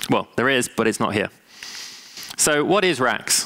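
At a fairly slow pace, a man talks with lively intonation, a fairly bright tone and medium pitch.

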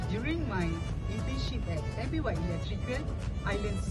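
Loud background noise fills the clip. A man speaks at a fairly slow pace. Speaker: job applicant. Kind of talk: video job application. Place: garden.

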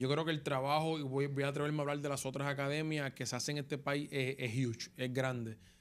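Speaking very fast with hardly any pauses, a man holds a fairly high pitch in a flat monotone at a very even loudness. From Puerto Rico, Las Piedras; Puerto Rico. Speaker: former baseball player, coach; coach. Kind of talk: interview. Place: studio. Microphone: studio mic.

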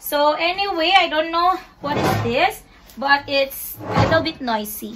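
A woman's high-pitched voice in a Visayan Filipino accent, fairly slow and with lively intonation, over loud background noise. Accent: Filipino (Cebuano) English. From Philippines, Cebu; Philippines. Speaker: vlogger. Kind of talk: casual unboxing vlog. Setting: home bedroom. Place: home room. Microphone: phone near.

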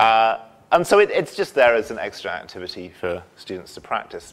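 At a moderate pace, a man's voice rises and falls across a very wide pitch range. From England, Shropshire; England. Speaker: university English instructor. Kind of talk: lecture. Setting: lecture hall with audience. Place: hall.

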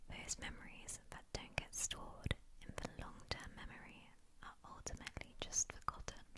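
A woman is whispering. She keeps a moderate pace. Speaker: ASMR creator. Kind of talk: ASMR fact reading. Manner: repetitive triggers, soft-spoken. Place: home room. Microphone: studio mic.

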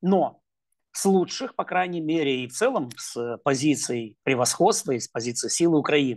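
This man has a fairly high voice and talks at a moderate pace. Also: quiet background. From Ukraine. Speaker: political analyst. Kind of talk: interview. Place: home room. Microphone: earbuds.

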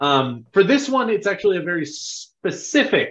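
Against a quiet background, a man speaks in a high pitch with very wide pitch swings. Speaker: podcast host. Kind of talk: podcast introduction chat. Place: home room.

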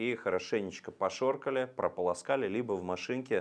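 The background is quiet. A man talks with ordinary pitch variation. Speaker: presenter. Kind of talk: lecture. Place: studio. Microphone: lapel.

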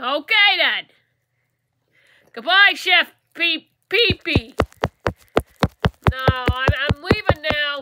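Using a cartoonish character voice, the speaker talks at a high pitch and a very slow pace with long, frequent pauses. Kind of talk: puppet show. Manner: casual, slangy.

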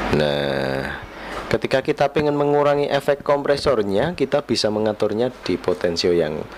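Against noticeable background noise, a man talks at a fairly slow pace, his pitch swinging very widely. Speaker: electronics reviewer. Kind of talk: tutorial. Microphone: handheld.

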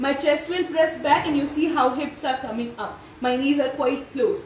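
A woman speaks in a high pitch with lively intonation. Light background noise and audible room echo sit behind her. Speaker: yoga instructor. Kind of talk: tutorial. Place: home room. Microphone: camera far.

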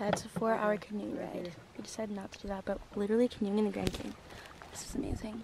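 A woman at a very fast pace, with a dry sound with no echo and noticeable background noise. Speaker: vlogger. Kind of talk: casual vlog chat. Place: boat. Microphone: phone near.

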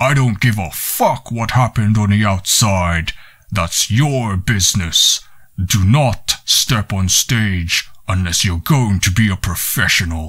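A man uses a booming, put-on character voice at a fairly low pitch. He speaks at a fairly slow pace. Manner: harsh, startling, authoritative.

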